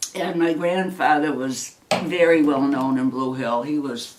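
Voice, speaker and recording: With audible room echo, a woman speaks at a fairly slow pace in a very deep, low voice. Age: 70s. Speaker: retired teacher. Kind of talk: family interview.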